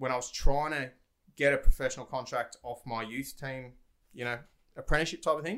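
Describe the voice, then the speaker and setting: A man's medium-pitched voice with a bright, sharp tone. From Australia. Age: 20s. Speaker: former footballer, real estate agent. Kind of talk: casual chat. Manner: nervous at first.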